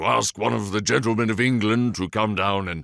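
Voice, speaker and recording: A man's put-on character voice, very deep and low, at a moderate pace, with a dry, close sound and no echo. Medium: read story. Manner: dry, courteous, slightly sly.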